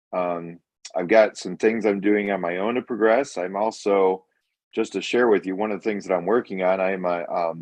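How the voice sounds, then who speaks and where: In a normal speaking voice, a man of fairly low pitch talks at a moderate pace with fairly even intonation. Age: 50s. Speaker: amputee participant. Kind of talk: self-introduction. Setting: video call.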